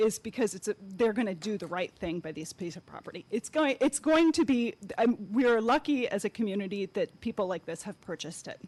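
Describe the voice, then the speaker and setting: Using an ordinary speaking voice, a woman with an American accent talks at a fairly quick pace, medium in pitch with lively intonation. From Sarasota, Florida. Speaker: environmentalist, public commenter. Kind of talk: public comment statement.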